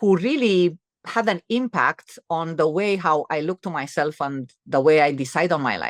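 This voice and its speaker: A woman with a Romanian accent speaks at a fairly low pitch with ordinary pitch variation, the sound dry and close with no echo. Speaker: entrepreneur and author. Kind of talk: interview conversation. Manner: halting, many fillers and restarts.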